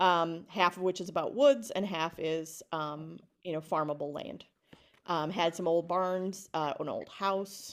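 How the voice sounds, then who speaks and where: A woman speaks at a fairly slow pace in a fairly low voice, with ordinary pitch variation. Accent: Upper Midwest. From rural Wisconsin (Alma Center). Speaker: education consultant, former teacher. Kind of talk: casual interview.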